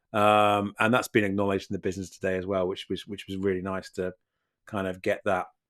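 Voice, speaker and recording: In a British accent, a man speaks very fast with monotone, flat intonation on a very clean recording with a silent background. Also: fairly low pitch for a man, dry, close sound with no echo. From Britain. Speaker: podcast co-host. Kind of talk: casual chat. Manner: halting, repeats words.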